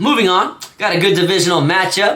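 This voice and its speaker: A man speaks in a high pitch. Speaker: sports betting youtuber. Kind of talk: solo sports picks monologue. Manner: halting, many fillers and stutters; casual.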